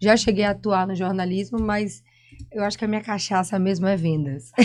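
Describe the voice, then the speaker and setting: A woman talks with a Bahian accent at a medium pitch. Her pace is moderate, and her pitch varies in an ordinary way. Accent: Bahian accent, noticeable. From Brazil, Salvador (Bahia). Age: 30s. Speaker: reality show participant, saleswoman. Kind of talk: podcast interview, casual chat.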